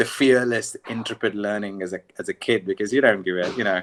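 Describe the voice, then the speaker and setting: Dry, close sound with no echo, a very clean recording with a silent background, and fairly even intonation. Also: man. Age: 30s. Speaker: tabla student. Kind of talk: casual chat. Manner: halting. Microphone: poor audio quality.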